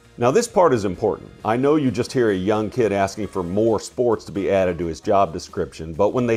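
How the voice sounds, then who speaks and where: A man speaks with music in the background. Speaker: podcast host. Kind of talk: podcast narration.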